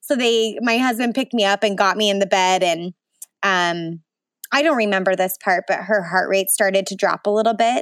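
In a very clean recording with a silent background and a dry, close sound with no echo, a woman with an American accent uses an unremarkable speaking voice at medium pitch, moving at a moderate pace with ordinary pitch variation. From Utah, Salt Lake City. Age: 20s. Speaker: photographer and new mother. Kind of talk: personal birth story interview.

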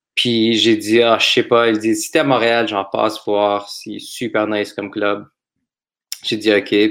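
Delivering his words at a fairly slow pace, a man speaks with a fairly low pitch and monotone, flat intonation. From Montreal, Quebec. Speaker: comedian. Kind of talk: casual chat.

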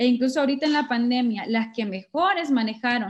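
A woman speaks with a Honduran accent. Her pitch is fairly high and her pace fairly quick. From Honduras, Sabana Grande (Francisco Morazán). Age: 20s. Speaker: political candidate. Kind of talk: interview.

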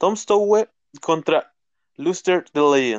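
A man speaks very slowly in a fairly high pitch. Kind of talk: wrestling results recap read aloud, blow-by-blow match summary. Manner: brisk, even, rattling off moves and match outcomes, some stumbles and repeats.

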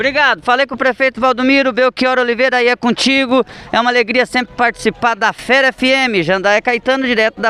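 Over noticeable background noise, a man with an extremely high pitch talks at a fairly quick pace in a raised, projected voice. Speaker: radio reporter. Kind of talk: field interview. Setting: outdoors.

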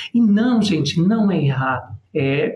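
Noticeable background noise sits behind a man whose high voice rises and falls in a lively way. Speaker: public relations and personal brand strategist. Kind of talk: casual interview chat.

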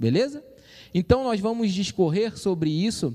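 A man speaks in a high voice with a dark, mellow tone. His intonation is lively. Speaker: church youth podcast host. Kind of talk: casual chat. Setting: live stream. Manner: animated.

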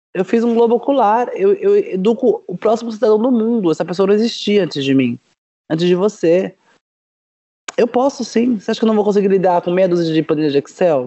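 A woman's plain, everyday voice, medium in pitch, fairly quick, with lively intonation. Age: 40s. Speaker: startup founder. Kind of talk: casual chat.

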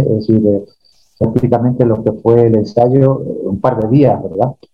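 Over music in the background, a man talks at a medium pitch with fairly even intonation. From Spain. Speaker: historian and songwriter. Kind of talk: interview. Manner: halting.

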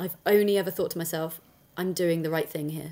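A woman with a southern English accent speaks in a fairly low pitch with monotone, flat intonation. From Dorset, southern England. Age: 40s. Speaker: affiliate marketer and content creator. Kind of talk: interview. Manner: direct, straight-talking.

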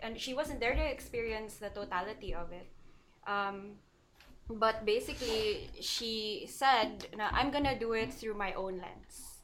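A woman's fairly high voice with ordinary pitch variation at a fairly slow pace, an ordinary speaking voice. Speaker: art teacher. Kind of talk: casual chat.

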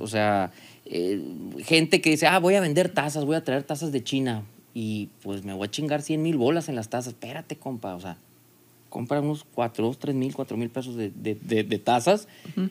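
At a moderate pace, an ordinary speaking voice carries lively intonation. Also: man. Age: 40s. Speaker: business owner. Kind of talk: casual chat.

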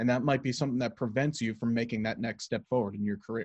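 The voice is somewhat breathy over a quiet background. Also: man. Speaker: sports broadcasting podcast host. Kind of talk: casual podcast conversation.

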